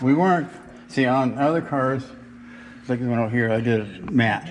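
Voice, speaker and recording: Here a man speaks at a medium pitch with ordinary pitch variation. Noticeable background noise and audible room echo fill the recording. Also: moderate pace. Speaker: hot rod builder. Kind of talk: casual chat. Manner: halting.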